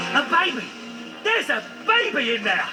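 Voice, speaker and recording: Clear background noise runs under a put-on character voice delivered at a moderate pace. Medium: short film. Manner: silly, excitable.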